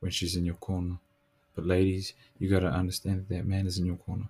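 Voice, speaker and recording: Monotone, flat intonation at a fairly quick pace, somewhat breathy with a dark, mellow tone, long, frequent pauses, and a dry, close sound with no echo. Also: man. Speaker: podcast host. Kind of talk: casual motivational monologue.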